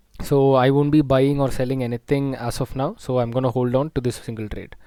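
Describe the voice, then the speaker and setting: Soft-spoken and at a moderate pace, a man talks at a medium pitch with a dark, mellow tone. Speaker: stock market analyst. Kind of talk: market analysis tutorial.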